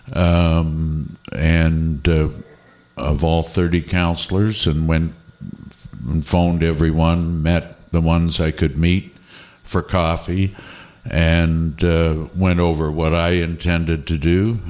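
A man with a Canadian accent speaks at a very slow pace in a very deep, low voice. His intonation is monotone and flat, and his loudness stays very even. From Canada, Niagara on the Lake. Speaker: regional chair. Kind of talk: casual chat.

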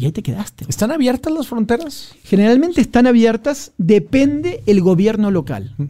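A man with an extremely high pitch and a dark, mellow tone swings his pitch very widely, talking at a moderate pace with hardly any pauses. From Argentina. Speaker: war journalist. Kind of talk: casual interview chat.

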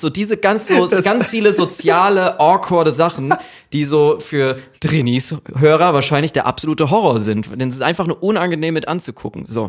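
The speech has lively intonation at a moderate pace, with noticeable background noise. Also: man. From Germany, Aschaffenburg (Lower Franconia). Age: 20s. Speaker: author of a graphic novel. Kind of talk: casual chat.

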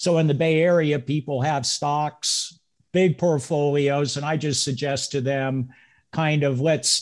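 Over a quiet background, an unremarkable speaking voice moves at a moderate pace with fairly even intonation. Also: man. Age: 60s. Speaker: real estate investor and broker. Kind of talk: casual interview.

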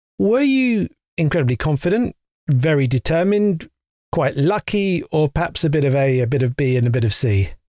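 A man with an English accent talks at a fairly quick pace in a fairly high voice, his pitch swinging very widely. The recording is very clean with a silent background, and the sound is dry and close with no echo. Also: very even loudness. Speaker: podcast host. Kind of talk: interview.

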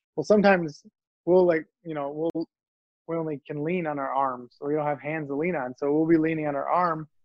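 With an unremarkable speaking voice, a man talks at a fairly quick pace, his pitch fairly high and his intonation fairly even. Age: 40s. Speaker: motivational speaker. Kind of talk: interview.

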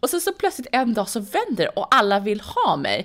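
Her pitch swinging very widely, a woman talks at a moderate pace. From Saudi Arabia and Sweden, born in London. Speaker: entrepreneur and venture investor. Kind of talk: interview. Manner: hesitant, many fillers.

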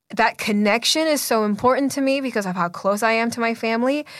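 In a very clean recording with a silent background, a woman talks at a fairly quick pace with fairly high pitch. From Canada. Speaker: magazine editor. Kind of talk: interview conversation. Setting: recording studio.

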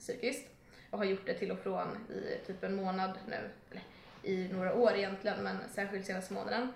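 A woman talks at a moderate pace. Audible room echo and noticeable background noise are present. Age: 20s. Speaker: social media content creator. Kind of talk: casual chat.

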